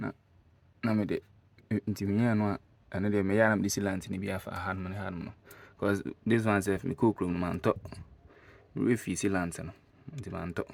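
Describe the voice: A man with a low pitch and vocal fry speaks at a moderate pace, with fairly even intonation. He leaves long, frequent pauses.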